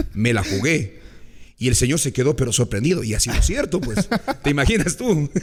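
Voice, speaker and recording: A man with a medium pitch talks at a fairly quick pace with very wide pitch swings. His voice is somewhat breathy. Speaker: radio broadcaster. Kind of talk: storytelling in interview.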